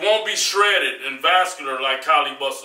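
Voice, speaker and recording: Against a quiet background with audible room echo, a man speaks at a high pitch. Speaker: fitness vlogger. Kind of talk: casual advice vlog monologue. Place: gym.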